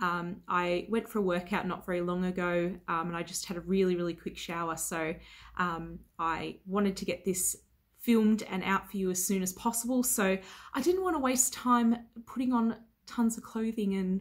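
The background stays quiet. At a moderate pace, a woman talks with ordinary pitch variation. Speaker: beauty vlogger. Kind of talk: casual vlog chat. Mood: relaxed, chill. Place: home room.

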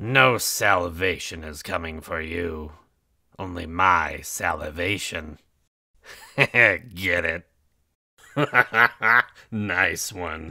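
Using a put-on character voice, a man talks very slowly in a raspy, very deep, low register, leaving long, frequent pauses. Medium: voice reel.

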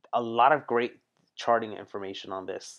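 Over a quiet background, a man talks at a moderate pace with fairly even intonation. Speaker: music reaction youtuber. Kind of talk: casual reaction commentary. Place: studio. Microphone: studio mic.

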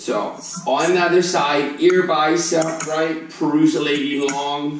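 Audible room echo surrounds a man with a fairly high pitch. He speaks at a very slow pace. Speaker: fitness instructor. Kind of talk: live online fitness class, cueing exercises and counting reps. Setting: video call. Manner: upbeat, casual and encouraging, with a light playful tone; rhythmic cueing, counting down reps. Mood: playful, joking. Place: home room.

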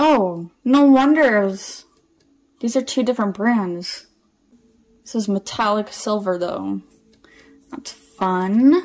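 The intonation is lively, with big swings in loudness. The pace is very slow, with long, frequent pauses. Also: woman. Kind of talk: casual vlog chat. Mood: playful, amused. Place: home room. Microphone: phone near.

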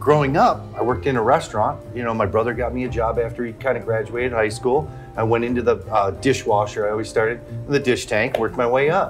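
Fairly quick speech with ordinary pitch variation and faint music in the background. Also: man. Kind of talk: interview answer. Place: bar. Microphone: lapel.

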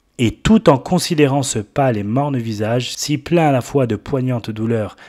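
The tone is dark, mellow and solemn, with ordinary pitch variation. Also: man, very clean recording, silent background. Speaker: preacher. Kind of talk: sermon. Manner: solemn, fervent, exhortative pulpit delivery; rising, impassioned, rhetorical appeals to the congregation.

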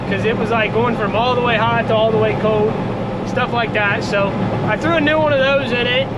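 Loud background noise surrounds a man as he talks. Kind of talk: casual vlog chat. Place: farm machine. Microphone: phone near.

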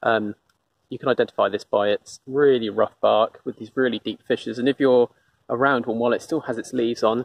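Talking at a fairly quick pace, a man keeps a fairly even intonation in dry sound with no echo. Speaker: nature walk guide. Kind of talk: casual nature walk commentary. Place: forest. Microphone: phone near.

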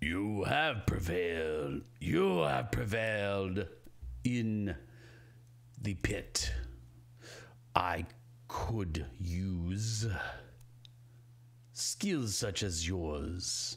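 In a put-on character voice, a man rumbles at a very deep, low pitch. He speaks very slowly with long, frequent pauses. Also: lively intonation. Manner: commanding, imposing.

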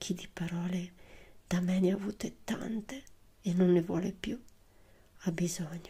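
A woman speaks at medium pitch in a dark, mellow tone. Her voice is somewhat breathy, with ordinary pitch variation. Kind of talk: poetry reading. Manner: soft-spoken.

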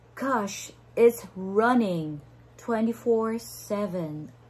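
A woman speaks with a somewhat breathy voice. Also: long, frequent pauses. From Philippines. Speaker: online entrepreneur; online business vlogger. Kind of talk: livestream sales talk; casual vlog chat. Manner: hesitant, many fillers. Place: home room. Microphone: phone near.

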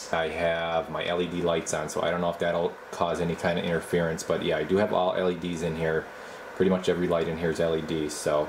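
A man speaks at a very fast pace in a very deep, low pitch with monotone, flat intonation. Noticeable background noise runs underneath. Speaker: radio equipment reviewer. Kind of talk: casual tutorial commentary. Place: workshop. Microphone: phone near.

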